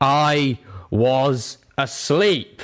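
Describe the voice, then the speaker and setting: Doing a put-on character voice, a man booms at a fairly high pitch. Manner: angry, regretful.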